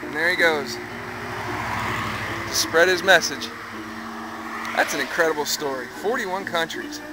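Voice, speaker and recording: A man speaks with long, frequent pauses against noticeable background noise. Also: moderate pace, dry sound with no echo. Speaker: local videographer narrating. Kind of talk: casual interview questions. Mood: impressed, admiring. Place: street. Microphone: phone near.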